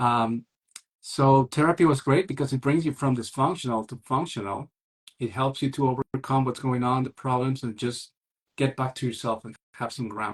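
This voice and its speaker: A man's voice sits at a medium pitch, somewhat breathy, with intonation that stays fairly even. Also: moderate pace. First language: not English. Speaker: single parenting coach. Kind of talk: interview conversation.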